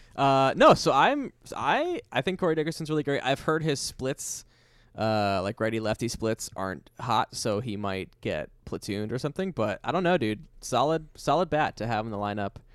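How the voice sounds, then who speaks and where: A man uses a normal speaking voice with an American accent at a medium pitch. His intonation is lively and his pace moderate. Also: very clean recording, silent background. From New York, Queens. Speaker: podcast co-host, baseball fan. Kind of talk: casual chat.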